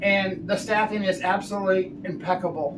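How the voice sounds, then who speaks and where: Noticeable background noise sits behind speech at a fairly quick pace. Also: man. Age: 60s. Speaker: RV travel vlogger and ICU travel nurse. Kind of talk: product tutorial. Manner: animated.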